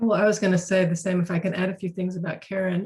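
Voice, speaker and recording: Somewhat breathy and medium-pitched, a woman speaks at a fairly quick pace. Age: 60s. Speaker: author and organizational consultant. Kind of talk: webinar conversation. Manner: halting, with many repetitions.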